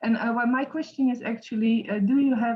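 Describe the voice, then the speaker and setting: This woman speaks with a non-native accent. Her pitch varies in an ordinary way. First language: not English. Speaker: education consultant. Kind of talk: question in online panel. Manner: halting, many fillers.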